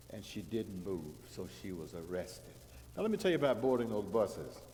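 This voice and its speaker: The delivery has lively intonation at a moderate pace, with long, frequent pauses. Audible room echo is present. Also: man. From US South, Georgia. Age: 70s. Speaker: guest preacher. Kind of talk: sermon. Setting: church.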